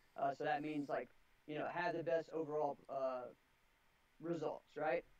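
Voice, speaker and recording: Quiet and monotone, with flat intonation, a man speaks at a moderate pace in a fairly high pitch for a man. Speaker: karate school owner and team coach. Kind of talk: interview.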